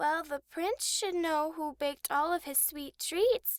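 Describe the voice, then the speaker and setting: A woman puts on a character voice at an extremely high pitch, speaking at a fairly slow pace. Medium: read story. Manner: warm, gentle.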